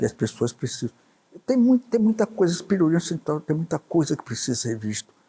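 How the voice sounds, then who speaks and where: A man's high-pitched voice with very wide pitch swings, a fairly quick pace, a dark, mellow tone, and a dry, close sound with no echo. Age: 80s+. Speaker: businessman and journalist. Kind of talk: interview answer.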